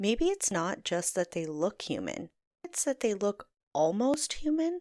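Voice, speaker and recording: A woman speaks in an ordinary speaking voice at medium pitch and a fairly slow pace, recorded very cleanly against a silent background with a dry, close sound and no echo. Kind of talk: podcast storytelling narration.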